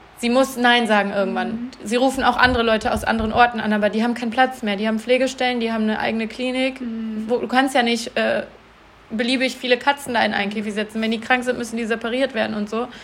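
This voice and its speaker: Against noticeable background noise, a woman with a fairly high pitch speaks at a very fast pace in a monotone, flat intonation. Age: 20s. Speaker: podcast co-host, cat rescuer. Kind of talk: casual chat. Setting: recording at home with co-host in the room.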